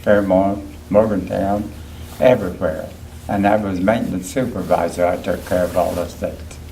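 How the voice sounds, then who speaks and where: In an Appalachian accent, a man talks at a moderate pace with a fairly low pitch and fairly even intonation. The room echo is audible, and background noise is noticeable. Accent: Appalachian American. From West Virginia, Clarksburg. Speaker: war veteran. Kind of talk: oral history interview.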